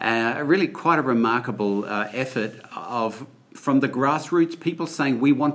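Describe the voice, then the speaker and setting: A man with an unremarkable speaking voice talks at medium pitch and a moderate pace, with ordinary pitch variation. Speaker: museum president. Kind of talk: interview. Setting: on location at a museum.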